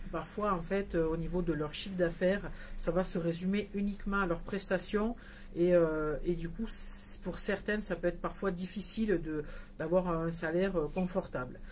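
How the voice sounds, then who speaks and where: A woman with a slight southern French accent speaks in a fairly low, somewhat breathy voice with fairly even intonation. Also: moderate pace. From southern France, Hérault (34). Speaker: nail products business owner. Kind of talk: live stream talk. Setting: Facebook live video. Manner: hesitant, many fillers.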